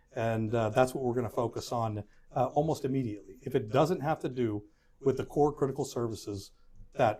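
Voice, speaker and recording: Speaking fairly quickly with a Texan accent, a man has a medium-pitched, somewhat breathy voice with a dark, mellow tone. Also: very clean recording, silent background. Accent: Texan American English. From Houston, Texas. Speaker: political candidate, firefighters union president. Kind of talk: interview answer.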